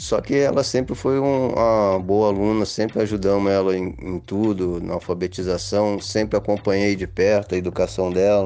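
A man talks at a moderate pace in a dark, mellow tone. His pitch is fairly low, with ordinary variation. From Brazil, Rio de Janeiro. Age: 50s. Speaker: father interviewed about parenthood. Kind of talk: interview storytelling. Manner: halting, repeats words.

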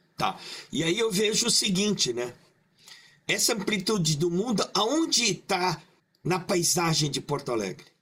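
A man with a high pitch talks at a fairly slow pace with long, frequent pauses. His intonation is lively and his loudness stays very even. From Brazil, Maringá (Paraná), Japanese-Brazilian community. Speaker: creative director. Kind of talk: casual chat. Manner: halting.

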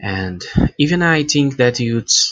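Speaking at a very slow pace, a man talks with a Portuguese accent. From Brazil. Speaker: language learner. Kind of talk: recorded listener question. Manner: halting.

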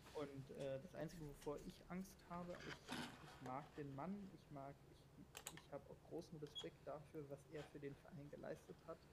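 The man's pitch sits fairly high. He keeps a moderate pace and fairly even intonation. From Berlin, Germany. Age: 20s. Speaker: football fan guest. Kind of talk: casual chat. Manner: halting, many fillers.

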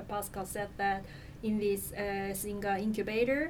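Recorded with audible room echo, a woman with a Korean accent speaks fairly slowly at a fairly high pitch. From South Korea. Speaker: nonprofit communications manager. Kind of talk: interview.

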